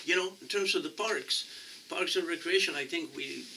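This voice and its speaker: A man with a Mexican accent is heard over noticeable background noise. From Mexico. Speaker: city council candidate. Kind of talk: interview. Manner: halting, many repetitions.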